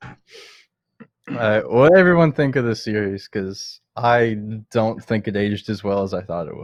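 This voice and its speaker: A man with an unremarkable speaking voice talks fairly slowly at a medium pitch, his intonation lively and his loudness swinging widely. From Canada. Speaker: podcast host. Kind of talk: casual chat.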